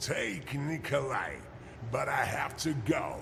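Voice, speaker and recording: A man talks very slowly in a put-on character voice. Loud background noise fills the recording. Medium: machinima. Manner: calm, measured.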